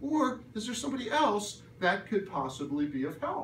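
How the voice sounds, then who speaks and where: A man speaks in an animated tone with very wide pitch swings. Audible room echo surrounds his voice. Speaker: career workshop presenter. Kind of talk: workshop presentation. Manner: fast.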